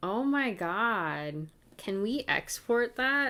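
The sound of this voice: A woman's tone is bright and sharp yet clear and smooth, her pitch swinging widely.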